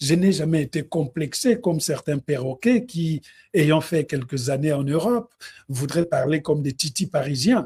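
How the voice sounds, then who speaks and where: Speaking at a fairly slow pace with a Congolese accent, a man has a fairly high pitch, a dark, mellow tone and lively intonation. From DR Congo. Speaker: music commentator, live streamer. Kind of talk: live stream Q&A. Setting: online live stream.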